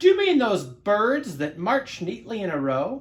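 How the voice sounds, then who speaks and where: Pitched fairly high and delivered loudly at a moderate pace, this put-on character voice swings very widely in pitch. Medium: read story. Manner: loud, hearty.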